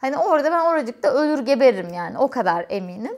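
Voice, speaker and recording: A woman talks at a moderate pace, and the background stays quiet. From Turkey, Eskişehir; Turkey. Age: 30s. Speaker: YouTuber and quality engineer; vlogger. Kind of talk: casual Q&A vlog. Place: home room.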